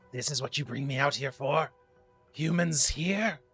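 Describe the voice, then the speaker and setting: A man's put-on character voice, raspy and hissing, fairly high in pitch with a menacing tone, at a moderate pace over faint music in the background. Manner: hissing, menacing.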